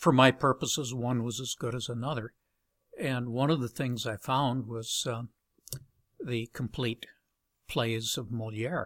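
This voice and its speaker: A man at medium pitch speaks with fairly even intonation and long, frequent pauses, in a very clean recording with a silent background and a dry, close sound with no echo. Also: fairly slow pace. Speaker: science fiction author. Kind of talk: casual interview. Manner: halting, frequent fillers.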